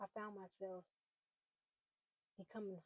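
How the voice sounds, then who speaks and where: A woman at a fairly slow pace, with a dry, close sound and no echo. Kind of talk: personal faith talk to camera. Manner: halting, repeating words.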